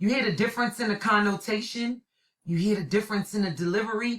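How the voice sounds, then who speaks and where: In a New York accent, a woman at medium pitch speaks with a bright, sharp tone and an animated delivery. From New York City (Brooklyn). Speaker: college instructor. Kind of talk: recorded lecture.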